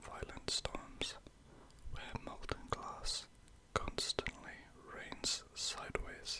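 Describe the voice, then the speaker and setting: Whispering at a very slow pace, a man leaves long, frequent pauses against noticeable background noise. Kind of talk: ASMR whispered fact narration. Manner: whispered, slow, calming.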